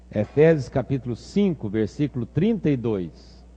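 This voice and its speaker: Speaking in a Minas Gerais accent, a man keeps a medium pitch. His voice is somewhat breathy, with a dark, mellow tone. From Brazil, Minas Gerais. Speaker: pastor. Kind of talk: sermon.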